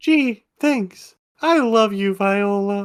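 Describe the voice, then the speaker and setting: The voice is a put-on character voice with fairly high pitch. The recording is very clean, with a silent background. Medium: actual play. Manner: nervous, easily startled.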